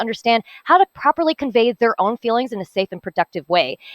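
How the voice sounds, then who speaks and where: Very fast speech from a woman with a fairly high pitch and very wide pitch swings. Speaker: hackathon team presenter. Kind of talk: project presentation.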